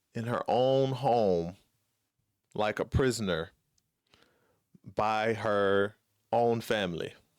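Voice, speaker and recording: A man at a very slow pace with long, frequent pauses, medium in pitch, with ordinary pitch variation. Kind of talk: casual commentary to camera.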